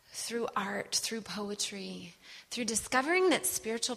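A woman with an American accent, plus noticeable background noise. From US Midwest, Wisconsin. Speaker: preacher. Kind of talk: sermon.

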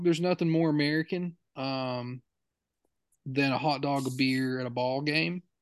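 A man with an unremarkable speaking voice, moderate pace and ordinary pitch variation, over a quiet background. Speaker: podcast host. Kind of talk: casual chat.

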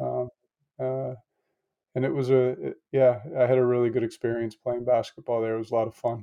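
Speaking at a fairly quick pace, a man leaves long, frequent pauses. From US Northeast, Connecticut. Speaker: former college basketball coach. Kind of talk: interview. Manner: halting.

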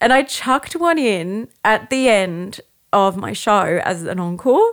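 A woman with an Australian accent speaks very slowly at a fairly high pitch, her voice swinging very widely in pitch. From Australia, Brisbane. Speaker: soprano singer. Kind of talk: casual chat.

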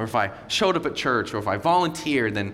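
A loud man with a fairly high pitch and very wide pitch swings, talking at a fairly quick pace amid noticeable background noise and audible room echo. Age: 30s. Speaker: visiting pastor. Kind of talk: Sunday sermon, passionate repeated refrains to the congregation. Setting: church service with congregation. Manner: loud, high-energy; emphatic, rising repetition in full preaching flow.

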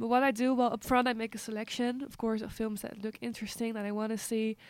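On a very clean recording with a silent background, a woman with a Dutch accent and a fairly high pitch talks at a very fast pace. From Amsterdam, Netherlands. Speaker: film journalist. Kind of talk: casual interview.

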